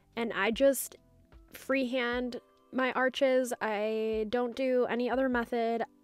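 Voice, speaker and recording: Music is heard in the background. Over it, a woman talks very slowly. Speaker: press-on nail artist. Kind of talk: work-with-me voiceover tutorial.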